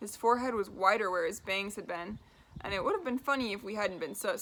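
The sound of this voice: The clip has an unforced reading voice.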